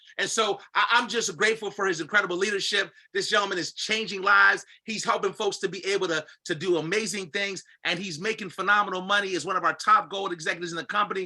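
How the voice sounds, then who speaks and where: A man speaks very fast in a raised, projected voice with hardly any pauses. His high pitch carries a bright, sharp, energetic and animated tone. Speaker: call host and business leader. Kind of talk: hype introduction. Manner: energetic, animated.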